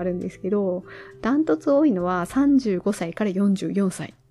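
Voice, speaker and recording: With very wide pitch swings, the woman keeps to a moderate pace. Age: 40s. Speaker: solo podcaster. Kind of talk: casual solo monologue.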